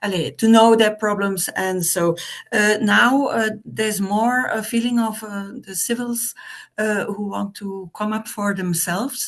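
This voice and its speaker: A woman speaks with a Flemish accent. Her pace is fairly slow and her intonation fairly even. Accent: Flemish Dutch. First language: Dutch. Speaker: representative of a village association. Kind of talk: online meeting discussion. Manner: halting, many hesitations.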